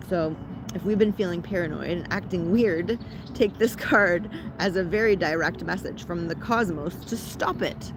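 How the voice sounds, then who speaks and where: This woman has a Canadian accent and a fairly low pitch. Her tone is animated. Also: ordinary pitch variation, moderate pace. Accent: Canadian, often taken for American. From Ontario, Canada. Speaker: spiritual content creator. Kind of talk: guided ritual talk. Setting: outdoors in a park. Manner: casual, animated.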